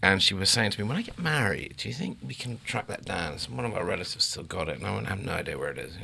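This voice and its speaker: In an English accent, the speaker races along at a very fast pace with hardly any pauses and very wide pitch swings, over noticeable background noise. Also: man, fairly low pitch for a man. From England. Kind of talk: casual chat.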